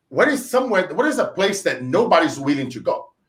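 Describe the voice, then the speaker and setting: A man with a Brazilian Portuguese accent, high-pitched, fairly quick, with very wide pitch swings. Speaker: entrepreneur, sales trainer. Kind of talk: interview, storytelling. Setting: live stream interview. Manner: animated.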